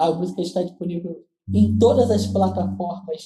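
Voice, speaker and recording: A man with a Carioca accent speaks at a fairly slow pace. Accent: carioca Brazilian Portuguese. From Rio de Janeiro, Brazil (west zone). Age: 20s. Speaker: gospel singer and keyboardist. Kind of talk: interview.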